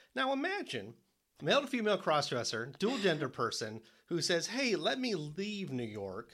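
A man with an American accent, high-pitched and swinging very widely in pitch, on a very clean recording with a silent background. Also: moderate pace. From Detroit area, Michigan. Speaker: podcast co-host and author. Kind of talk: interview.

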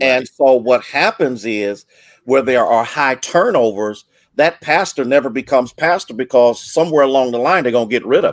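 A normal speaking voice, with ordinary pitch variation and a moderate pace, is captured in a very clean recording with a silent background. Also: man, medium pitch for a man. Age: 60s. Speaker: pastor. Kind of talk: panel discussion.

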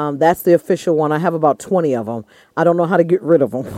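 Recorded dry and close with no echo against a quiet background, a woman speaks in a fairly low, dark, mellow voice with ordinary pitch variation. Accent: American. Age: 50s. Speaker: comedian.

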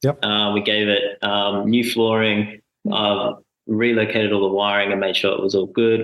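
With an Australian accent, a man speaks at a moderate pace in a fairly low, monotone, flat voice. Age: 20s. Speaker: full-time traveller. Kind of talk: casual interview.

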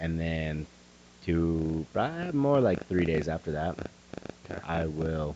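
Over noticeable background noise, a man speaks very slowly at a very deep, low pitch with ordinary pitch variation and long, frequent pauses. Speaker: podcast host, strength athlete. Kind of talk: casual chat.

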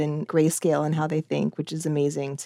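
A woman speaks in a fairly low pitch with a dark, mellow tone. The sound is dry and close, with no echo. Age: 40s. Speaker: cartoonist and author. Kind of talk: casual interview.

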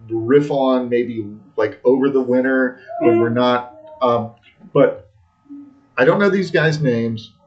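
Music plays in the background as the speaker goes at a fairly slow pace with ordinary pitch variation. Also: man. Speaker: soccer podcast co-host. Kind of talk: casual chat. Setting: bar basement. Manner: slow, deliberate with pauses.

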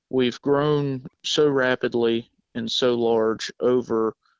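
Here a man speaks with a Southern US accent. His pitch is medium, and his intonation fairly even. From South Georgia. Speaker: welding sales employee.

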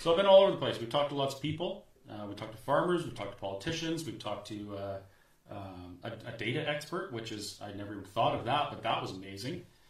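A man at a medium pitch and a very fast pace, with very wide pitch swings, big swings in loudness, audible room echo and noticeable background noise. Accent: Canadian. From Canada (Alberta). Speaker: restaurant owner and activist. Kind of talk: casual interview. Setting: studio.

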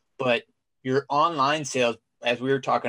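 A man with an American accent talks at a moderate pace with fairly even intonation in an ordinary speaking voice. The very clean recording has a dry, close sound with no echo and a silent background. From Cincinnati, Ohio. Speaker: podcast co-host, Marine veteran. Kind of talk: interview.

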